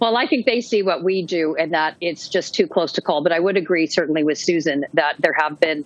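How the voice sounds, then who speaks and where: A woman with a Canadian accent talks fairly quickly, with hardly any pauses. She has an unremarkable speaking voice, pitched fairly low, with ordinary pitch variation. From western Canada. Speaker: political journalist. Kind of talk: panel discussion.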